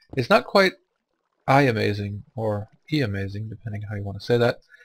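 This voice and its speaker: Somewhat breathy, a man talks at a moderate pace with a fairly low pitch and ordinary pitch variation. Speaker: gaming let's play youtuber. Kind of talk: let's play commentary. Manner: casual, chatty.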